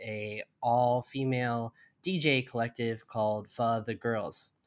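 Over a quiet background, a man with an ordinary speaking voice talks in a medium pitch with ordinary pitch variation. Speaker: podcast host. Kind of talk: interview. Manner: conversational, frequent backchannels.

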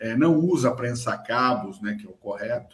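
Moderately paced, a man talks at a medium pitch with monotone, flat intonation. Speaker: podcast host on electrical safety. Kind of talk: live-streamed casual chat. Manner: hesitant, many fillers.

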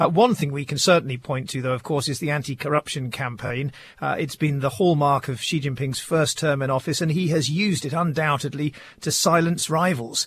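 Over a silent background in a very clean recording, a man talks at a fairly quick pace in a fairly high, somewhat breathy voice. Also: ordinary pitch variation. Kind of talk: scripted radio news report. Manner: polished, dramatic, measured narration.

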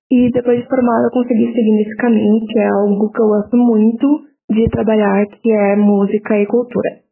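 At a moderate pace, a woman talks in a fairly high pitch with monotone, flat intonation. Her loudness stays very even. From Porto Alegre, Brazil. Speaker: journalist and press officer. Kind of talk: interview answer.

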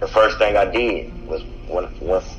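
A man with an American accent is heard amid noticeable background noise and audible room echo. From US South, Henry County near Atlanta, Georgia. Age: 30s. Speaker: rapper. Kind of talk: casual chat.

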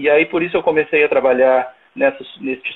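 This man talks at a fairly quick pace. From southern Brazil, Rio Grande do Sul (Camaquã). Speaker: agricultural engineer, researcher. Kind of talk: interview on a live stream. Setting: video call live stream.

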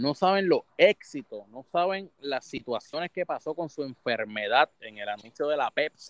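A man with a Puerto Rican accent and a fairly high pitch talks at a fairly slow pace with hardly any pauses, lively intonation and big swings in loudness. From Puerto Rico. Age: 30s. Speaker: gaming streamer. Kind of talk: casual chat.

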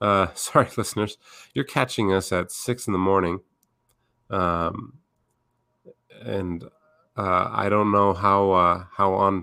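Using a bright, sharp tone, a man speaks very slowly at a fairly low pitch with long, frequent pauses. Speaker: podcast host. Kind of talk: casual chat. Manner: halting, many fillers.

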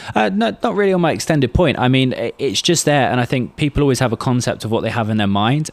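A man with lively intonation talks at a very fast pace. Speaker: podcast host and musician. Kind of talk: casual podcast chat.

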